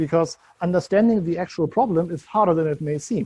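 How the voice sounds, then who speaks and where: In a German accent, a man speaks at a fairly quick pace with a high pitch and ordinary pitch variation. His tone is dark and mellow. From Germany. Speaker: software consultant. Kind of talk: conference talk.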